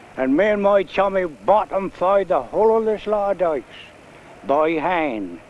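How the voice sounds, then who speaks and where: With noticeable background noise behind him, a man speaks in a high pitch and lively intonation. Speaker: retired marshman. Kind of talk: reminiscing storytelling.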